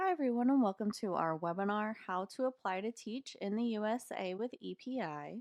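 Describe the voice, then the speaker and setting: With an American accent and an ordinary speaking voice, a woman with a fairly high pitch talks at a fairly quick pace with lively intonation and hardly any pauses, in a dry, close sound with no echo. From US South, North Carolina mountains. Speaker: content coordinator, former English teacher. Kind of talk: webinar presentation. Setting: webinar. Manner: formal.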